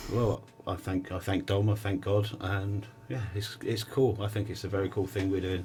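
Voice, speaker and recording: Music plays in the background. The speaker has an English accent and a monotone, flat intonation. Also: man, fairly low pitch for a man, moderate pace. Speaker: musician. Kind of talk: casual interview.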